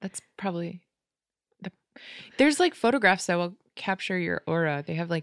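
Lively intonation marks a woman with an American accent speaking at a fairly low pitch and moderate pace. She takes long, frequent pauses, and the sound is dry and close with no echo. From Las Vegas, US. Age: 30s. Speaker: stand-up comedian. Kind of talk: casual chat.

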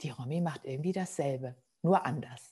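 This woman has a very deep, low pitch and lively intonation. She talks at a moderate pace. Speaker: podcast host. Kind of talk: casual interview chat.

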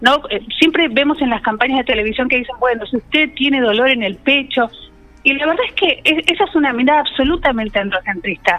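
Against noticeable background noise, a woman speaks at a high pitch and fairly quick pace with lively intonation. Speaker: feminist activist. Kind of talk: radio interview.

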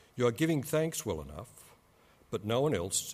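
Vocal fry marks a man's speech as he moves at a moderate pace through very wide pitch swings, in a very clean recording with a silent background. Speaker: scripture reader. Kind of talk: reading aloud. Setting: church.

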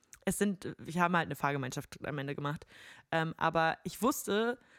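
Speaking at a fairly quick pace, a woman is heard on a very clean recording with a silent background and a dry, close sound without echo. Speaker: podcast host and musician. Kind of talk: casual chat.

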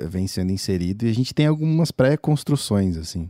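A man speaks at a fairly low pitch with a dark, mellow tone, recorded dry and close with no echo in a very clean take against a silent background. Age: 20s. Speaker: creative working with audio. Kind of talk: casual interview chat.

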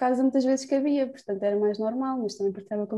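A woman's dark, mellow tone at a very fast pace, with fairly even intonation. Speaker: student podcast host. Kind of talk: casual chat.

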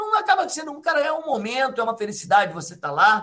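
In a raised, projected voice, a man talks at a very fast pace with a bright, sharp tone and very wide pitch swings. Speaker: triathlon coach. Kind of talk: casual chat. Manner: animated.

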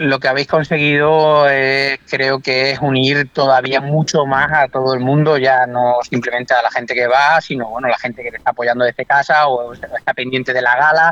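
A man at a medium pitch talks with monotone, flat intonation at a moderate pace, with hardly any pauses. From Extremadura, Spain. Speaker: angler. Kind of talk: casual chat.

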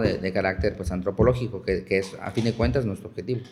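A man's dark, mellow voice, somewhat breathy, at a very fast pace. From Chiapas, Mexico. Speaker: archaeologist. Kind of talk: interview.

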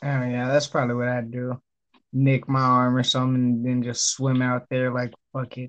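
The man's intonation is monotone and flat. His pitch sits in the medium range. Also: moderate pace. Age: 20s. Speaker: podcast guest. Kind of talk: casual chat.

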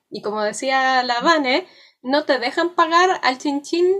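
A woman speaks at a fairly slow pace. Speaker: podcast co-host and teacher. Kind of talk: casual chat.

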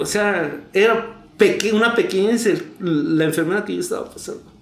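A man talks fairly slowly with ordinary pitch variation. The room around him gives an audible echo. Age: 40s. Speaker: recovering addict. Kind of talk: testimony.

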